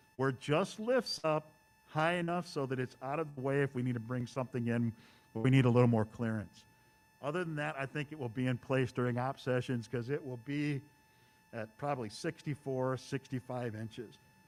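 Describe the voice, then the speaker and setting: An unremarkable speaking voice with an American accent, ordinary pitch variation and a fairly quick pace. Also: man, medium pitch for a man. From US Midwest, Chicago suburbs. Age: 60s. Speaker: model railroader, clinic presenter. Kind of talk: presentation to hobby club. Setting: event hall with live audience and Zoom stream.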